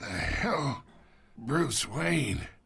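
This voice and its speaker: A man puts on a raspy character voice, fairly high pitched. His pitch swings very widely. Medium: short film. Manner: sly, taunting.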